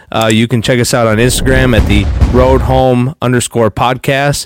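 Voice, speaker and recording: Over music in the background, a man with a medium pitch and fairly even intonation talks at a moderate pace in a dry, close sound with no echo. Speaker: podcast co-host. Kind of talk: casual Bible-study podcast chat. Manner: earnest, conversational.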